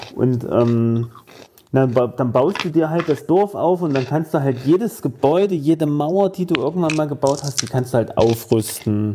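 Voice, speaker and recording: This man's fairly high voice moves at a moderate pace with lively intonation while music plays in the background. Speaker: podcast co-host. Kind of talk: casual chat.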